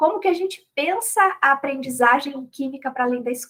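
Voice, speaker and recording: A woman talks with a high pitch at a moderate speed, varying it in an ordinary way. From Brazil, Rio Grande do Sul. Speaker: chemistry education professor and researcher. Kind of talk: academic talk at a round table.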